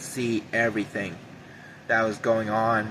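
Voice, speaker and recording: Over noticeable background noise, a man's shaky voice moves very slowly at a medium pitch in a monotone, flat intonation. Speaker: YouTuber sharing prophetic visions. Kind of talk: personal monologue to camera.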